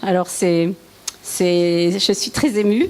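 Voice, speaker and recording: A woman is heard speaking over noticeable background noise. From eastern France (Lorraine, Vosges). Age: 70s. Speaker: churchgoer giving testimony. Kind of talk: testimony. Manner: halting.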